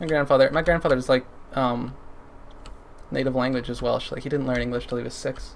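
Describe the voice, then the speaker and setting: A man with a Canadian accent speaks at medium pitch in a monotone, flat intonation. His pace is fairly quick, broken by long, frequent pauses. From Canada. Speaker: gaming streamer. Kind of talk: casual chat while livestreaming a game. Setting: livestream. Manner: halting, many fillers.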